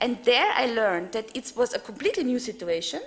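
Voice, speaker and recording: A woman talks at a moderate pace. Her pitch sits high. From Austria. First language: German. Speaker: European politician, panelist. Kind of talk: panel discussion. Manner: hesitant, many fillers.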